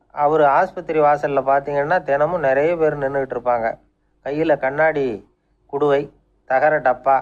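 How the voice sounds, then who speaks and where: A man speaks at fairly high pitch. His intonation is fairly even. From Tamil Nadu. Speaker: radio storyteller. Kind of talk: radio storytelling talk. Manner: conversational, gentle humor.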